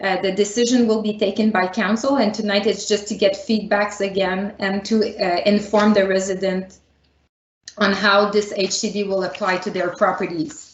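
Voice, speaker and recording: A woman speaks in a Quebec accent at a moderate pace, her medium-pitched voice flat and monotone. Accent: Canadian French. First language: French. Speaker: municipal planning director. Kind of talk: public meeting presentation. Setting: virtual meeting.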